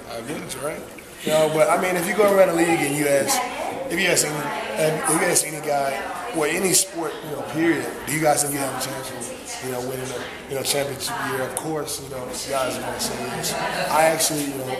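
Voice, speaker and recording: Loud noise fills the background. Over it, a man speaks at a fairly quick clip. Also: ordinary pitch variation. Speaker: interviewee. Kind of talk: interview answer. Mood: earnest, reflective. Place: hall. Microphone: camera far.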